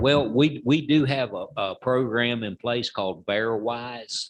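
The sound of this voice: The speaker goes at a slow pace with a fairly bright tone and fairly even intonation. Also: man.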